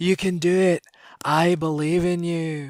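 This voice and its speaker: Putting on a character voice in a Scottish accent, a man speaks at a high pitch for a man, with monotone, flat intonation and a fairly slow pace. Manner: encouraging, pep talk.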